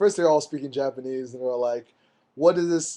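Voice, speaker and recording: A man with an American accent, fairly high pitch and a dark, mellow tone at a fairly quick pace over a quiet background. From United States. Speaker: street photographer and blogger. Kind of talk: casual chat. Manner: animated.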